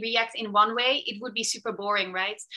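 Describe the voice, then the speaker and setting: Against a quiet background, a woman talks with a Dutch accent. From Netherlands. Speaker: fashion tech designer. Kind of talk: presentation. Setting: video call. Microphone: video call.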